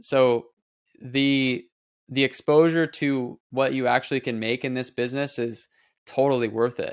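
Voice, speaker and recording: A plain, everyday voice from a medium-pitched man with an American accent, fairly slow and fairly even in intonation, on a very clean recording with a silent background. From Nebraska, US Midwest. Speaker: real estate investor. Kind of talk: casual interview.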